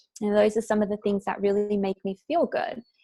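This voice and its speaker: Soft-spoken and somewhat breathy, the voice has a dark, mellow tone and a dry, close sound with no echo. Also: woman. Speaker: self-care coach for women entrepreneurs. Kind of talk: interview answer. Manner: calm, soft-spoken.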